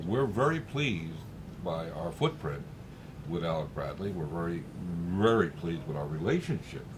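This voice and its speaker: Through audible room echo and noticeable background noise, a man with a very deep, low pitch speaks at a moderate pace with long, frequent pauses. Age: 60s. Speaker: cigar show panelist. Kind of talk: casual chat.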